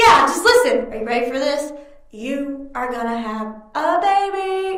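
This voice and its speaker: In a put-on character voice, a female-sounding speaker talks at a moderate pace with a high pitch, with slight echo on the recording. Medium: read story.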